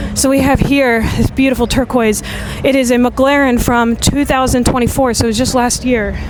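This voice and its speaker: Noticeable background noise sits behind a woman's high-pitched voice, which stays very even in loudness with monotone, flat intonation at a moderate pace. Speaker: livestreamer and vlogger. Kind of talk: live walkthrough commentary. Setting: outdoors at a car show. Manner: casual, chatty.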